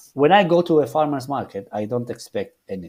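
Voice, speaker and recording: Delivered at a fairly quick pace in a Spanish accent, the voice has a dark, mellow tone in a very clean recording with a silent background. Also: man. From Argentina. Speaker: chef. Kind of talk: interview. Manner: halting, many repetitions and restarts.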